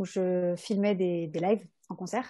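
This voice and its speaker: A medium-pitched woman's voice over a quiet background. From France, Rhône-Alpes. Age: 20s. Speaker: videographer. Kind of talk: podcast interview. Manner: hesitant, many fillers.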